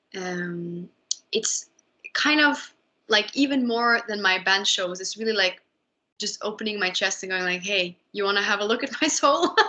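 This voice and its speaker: A woman speaks in a Norwegian accent with a bright, sharp tone and medium pitch. Her intonation is lively. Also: moderate pace. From Norway. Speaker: musician, band leader. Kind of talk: interview. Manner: hesitant, many fillers.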